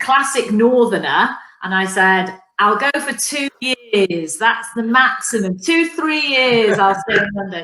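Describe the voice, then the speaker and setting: This woman talks at a fairly slow pace. Her voice is fairly high, with lively intonation. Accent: Mancunian. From northern England, Manchester. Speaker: business executive. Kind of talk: interview.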